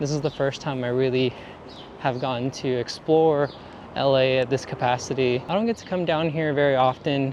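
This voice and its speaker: This man's voice is medium in pitch with fairly even intonation. He talks at a moderate pace. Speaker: photographer and vlogger. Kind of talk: casual vlog talk. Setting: walking outdoors in downtown. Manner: mumbling; relaxed, halting.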